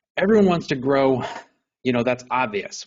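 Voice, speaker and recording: In a New York accent, this man talks at a medium pitch with lively intonation. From New York area. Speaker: insurance broker. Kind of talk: webinar presentation. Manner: fast.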